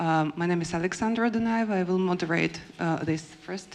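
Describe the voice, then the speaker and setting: A woman's medium-pitched voice in a Russian accent, with fairly even intonation. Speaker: panel moderator, theatre researcher. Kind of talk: panel moderation. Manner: halting, many fillers.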